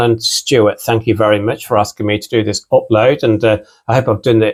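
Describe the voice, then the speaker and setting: At a very fast pace, a man speaks in a somewhat breathy voice at a medium pitch. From United Kingdom.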